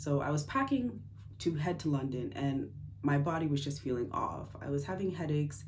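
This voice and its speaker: Speaking at a moderate pace with ordinary pitch variation, a woman with a very deep, low pitch is heard with audible room echo. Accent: American. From United States. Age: 20s. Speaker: engineer sharing health story. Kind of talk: personal testimony vlog. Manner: casual, hesitant with fillers.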